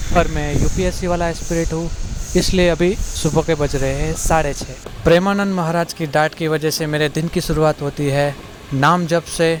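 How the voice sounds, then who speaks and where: A man with a Gujarati accent speaks at a moderate pace in a fairly high pitch, his intonation monotone and flat, with noticeable background noise. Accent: Gujarati-accented Hindi. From India, Gujarat (Surat). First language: Gujarati (speaking Hindi). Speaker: civil services exam aspirant vlogger. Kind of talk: casual vlog narration, Hindi-English mix.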